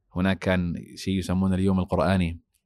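A man speaks at a moderate pace and fairly low pitch, with a dark, mellow tone. The recording is very clean with a silent background, and the sound is dry and close with no echo. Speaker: mosque imam. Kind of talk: interview.

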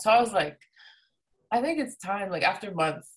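A woman speaks fairly quickly with lively intonation. Her voice has vocal fry. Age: 30s. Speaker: DJ and music producer. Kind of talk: casual chat.

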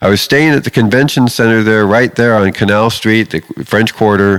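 A man with a fairly low pitch talks at a moderate pace. His is an unremarkable speaking voice. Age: 50s. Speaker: pastor. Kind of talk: sermon.

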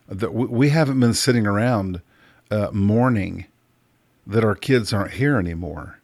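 A man's normal speaking voice at a moderate pace, with ordinary pitch variation, on a very clean recording with a silent background. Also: fairly low pitch for a man. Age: 50s. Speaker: podcast host, life coach. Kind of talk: casual monologue.

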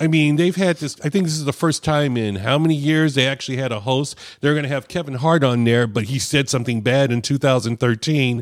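An unremarkable speaking voice, a man talks at a fairly quick pace and fairly high pitch with ordinary pitch variation and hardly any pauses, in a very clean recording with a silent background. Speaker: cigar podcast host. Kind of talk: casual chat.

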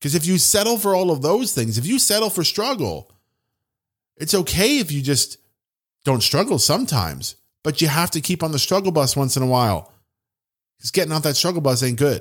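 Vocal fry runs through very wide pitch swings, broken by long, frequent pauses. The recording is very clean, with a silent background. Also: man, fairly high pitch for a man. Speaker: business coach podcast host. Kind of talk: pep talk. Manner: urgent, emphatic.

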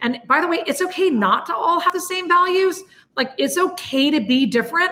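Loud and animated, a woman speaks with very wide swings in pitch. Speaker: business leader. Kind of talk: interview.

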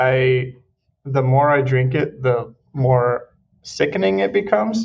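This man has a somewhat breathy voice. He talks at a very slow pace. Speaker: podcast host. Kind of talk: casual chat.

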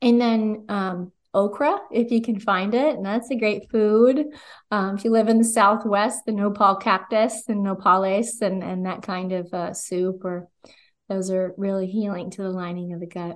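In an American accent, a woman with an ordinary speaking voice talks at a moderate pace and medium pitch, her intonation fairly even against a quiet background. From New Jersey. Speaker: holistic nutritionist. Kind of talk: interview.

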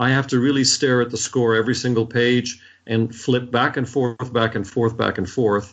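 A man uses a normal speaking voice, keeping a medium pitch, a moderate pace and fairly even intonation. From US, Washington D.C. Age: 60s. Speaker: orchestra conductor. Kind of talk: interview.

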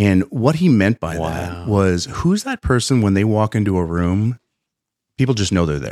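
Speaking at a moderate pace, a man with a dark, mellow tone and a fairly low pitch uses lively intonation. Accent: American. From Pennsylvania. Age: 50s. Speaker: business founder and innovation consultant. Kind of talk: interview storytelling. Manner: animated.

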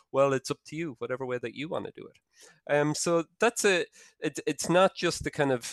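A man with an Irish accent speaks with lively intonation in a dry, close sound with no echo and a quiet background. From Ireland. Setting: video call.

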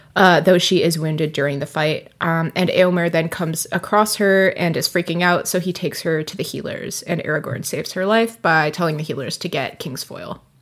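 A woman with a fairly low pitch speaks in an ordinary speaking voice at a fairly quick pace, with fairly even intonation and hardly any pauses. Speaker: podcast co-host. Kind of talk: casual chat. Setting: remote recording.

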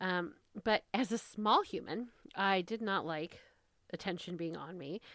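With an American accent and a normal speaking voice, a woman talks at a medium pitch and a fairly slow pace, with ordinary pitch variation. The recording is very clean, its background silent. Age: 30s. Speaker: podcast host. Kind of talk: casual solo monologue.

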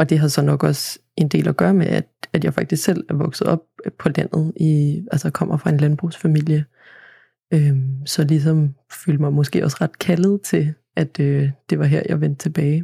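In a dry, close recording with no echo, a woman speaks fairly slowly with a very deep, low pitch and a dark, mellow, somewhat breathy tone. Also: ordinary pitch variation. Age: 20s. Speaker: agricultural student. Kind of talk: interview. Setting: studio. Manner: hesitant, many fillers.

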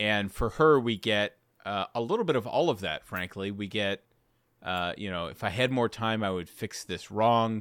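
A man's plain, everyday voice, fairly low in pitch with ordinary pitch variation, is heard on a very clean recording with a silent background. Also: dry, close sound with no echo. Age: 30s. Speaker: podcast co-host. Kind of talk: casual chat.

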